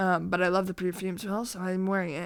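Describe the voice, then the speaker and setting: A woman's medium-pitched voice at a moderate pace, fairly even in intonation, on a very clean recording with a silent background. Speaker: vlogger. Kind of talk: casual vlog monologue. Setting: at home, evening. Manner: hesitant, many fillers.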